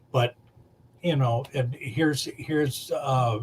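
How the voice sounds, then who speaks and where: A man's voice sits at medium pitch and sounds somewhat breathy. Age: 60s. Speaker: makeup artist. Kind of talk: casual chat. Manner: halting.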